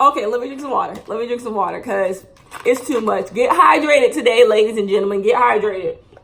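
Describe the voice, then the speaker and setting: A woman speaks loudly with lively intonation. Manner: loud and projecting.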